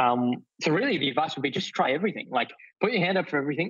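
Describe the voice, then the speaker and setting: A man with a fairly high pitch speaks in an Australian accent. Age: 20s. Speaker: youth entrepreneur. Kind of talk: interview.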